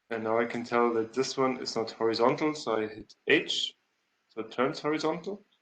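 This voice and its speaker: A man with a plain, everyday voice, medium pitch, ordinary pitch variation and a moderate pace. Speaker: CAD software instructor. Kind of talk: tutorial.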